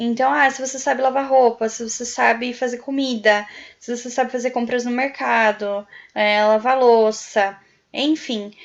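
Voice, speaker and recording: A woman speaks in a high pitch at a moderate pace. Her intonation stays fairly even. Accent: Brazilian. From Brazil. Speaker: YouTuber, prospective au pair. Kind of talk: tutorial. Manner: casual, with filler words.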